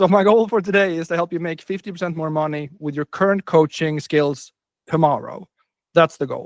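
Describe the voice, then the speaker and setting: With a Swedish accent, a man speaks at a high pitch with ordinary pitch variation, the sound dry and close with no echo. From northern Sweden. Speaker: business coach. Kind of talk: webinar presentation.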